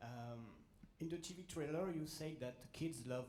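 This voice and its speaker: In a French accent, a man speaks with a dark, mellow, somewhat breathy tone and ordinary pitch variation, with audible room echo. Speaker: journalist. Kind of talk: press question. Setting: press conference with audience. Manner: halting.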